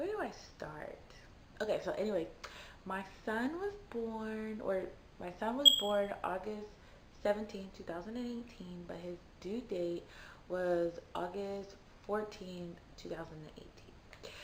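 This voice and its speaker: The speech is quiet and fairly slow, with long, frequent pauses, ordinary pitch variation and big swings in loudness. Audible room echo and noticeable background noise sit behind it. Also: woman, medium pitch for a woman. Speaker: vlogger. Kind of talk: personal story. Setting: at home. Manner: quiet, low volume; casual, chatty.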